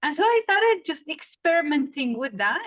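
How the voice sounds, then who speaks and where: A woman with a Saudi accent at a moderate pace, her pitch swinging very widely, in a dry, close sound with no echo. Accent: Saudi Arabian English. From Saudi Arabia. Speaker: storytelling coach. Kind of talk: podcast interview.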